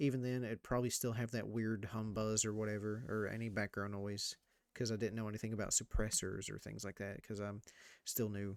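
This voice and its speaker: In a very clean recording with a silent background, the soft-spoken voice moves at a fairly quick pace with monotone, flat intonation. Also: man, fairly low pitch for a man. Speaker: gaming YouTuber. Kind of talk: gameplay commentary.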